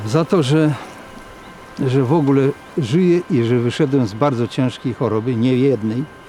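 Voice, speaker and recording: A man speaks at medium pitch and a moderate pace, with ordinary pitch variation and long, frequent pauses. Noticeable background noise is present. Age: 70s. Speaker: retiree. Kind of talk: documentary interview.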